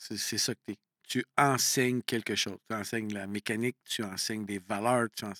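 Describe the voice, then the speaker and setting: A man speaks at a moderate pace in a bright, sharp tone, recorded very cleanly with a silent background and a dry, close sound free of echo. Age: 50s. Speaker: coach and entrepreneur. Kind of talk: casual interview conversation.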